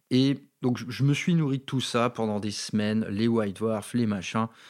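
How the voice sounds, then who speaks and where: A man with a slight northern French accent at medium pitch, with ordinary pitch variation and a fairly slow pace, in a very clean recording with a silent background. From northern France, Valenciennes. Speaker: wargaming podcaster. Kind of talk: casual monologue. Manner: unscripted, hesitant.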